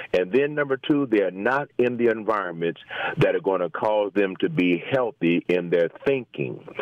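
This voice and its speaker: A man speaks with a fairly low pitch and lively intonation, his loudness very even. Noticeable background noise can be heard. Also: moderate pace. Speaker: pastor caller. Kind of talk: phone call commentary. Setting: phone call.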